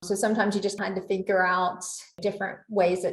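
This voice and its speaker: With a Southern US accent, a woman talks fairly quickly in a somewhat breathy voice at medium pitch, her intonation fairly even. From US South. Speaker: legal operations executive. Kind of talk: interview.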